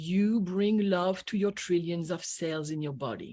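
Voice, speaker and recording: A woman with a French accent talks fairly slowly. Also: very clean recording, silent background. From France. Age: 60s. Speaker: energy healer and business coach. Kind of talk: radio interview. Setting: radio show. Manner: animated.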